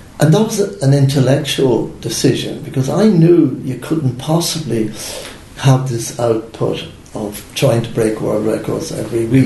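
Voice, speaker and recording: A man with a Dublin accent at medium pitch, ordinary pitch variation and a moderate pace, with audible room echo and noticeable background noise. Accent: Irish (Dublin). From Ireland (Dublin). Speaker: retired Olympic runner and businessman. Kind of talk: interview.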